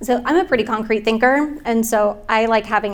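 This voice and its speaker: Her pitch sits fairly high, with ordinary variation. The woman talks at a fairly quick pace. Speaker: nonprofit staff member, panelist. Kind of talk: panel discussion. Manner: fast.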